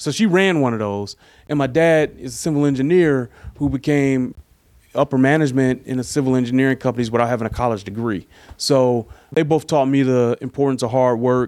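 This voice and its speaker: This is a man with a normal speaking voice at a medium pitch. He talks at a fairly quick pace with ordinary pitch variation. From Detroit, Michigan. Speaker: sports writer. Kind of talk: casual interview. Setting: in person.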